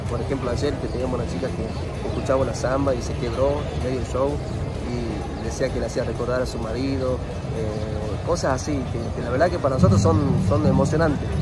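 A man speaks at a moderate pace, the sound dry with no echo while music plays clearly behind him. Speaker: show host. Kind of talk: interview answer. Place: street.

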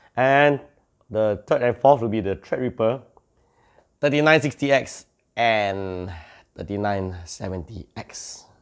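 Against a quiet background, a man talks at a very slow pace with lively intonation. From Malaysia. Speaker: tech YouTuber. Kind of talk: tech news update. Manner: casual, some hesitations. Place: home room.

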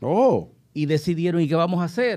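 Dark and mellow in tone, a man's voice moves at a moderate pace with lively intonation against a quiet background. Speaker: guest commentator. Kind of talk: casual panel discussion. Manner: jokey, animated. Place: studio. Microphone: studio mic.

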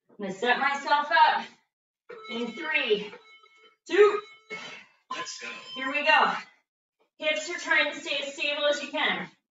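A woman is speaking. Light background noise and audible room echo can be heard. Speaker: fitness instructor. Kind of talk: workout class instructions. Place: gym. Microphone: camera far.

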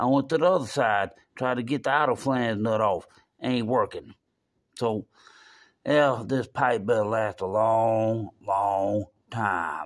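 A man speaks at a very slow pace with ordinary pitch variation. Long, frequent pauses break up his speech against a quiet background. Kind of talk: casual vlog chat. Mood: frustrated, resigned. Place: garage. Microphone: phone near.

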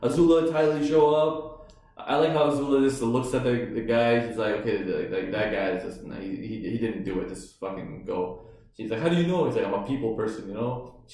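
Fairly quick delivery with audible room echo. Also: man. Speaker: show reviewer. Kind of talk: casual reaction chat. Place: home room.

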